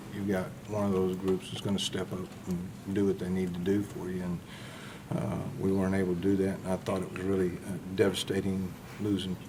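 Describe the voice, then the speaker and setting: A man with a very deep, low pitch speaks in a flat monotone at a fairly quick pace, with audible room echo. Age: 60s. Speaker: college football defensive coach. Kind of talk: press conference. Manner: hesitant, many filler words.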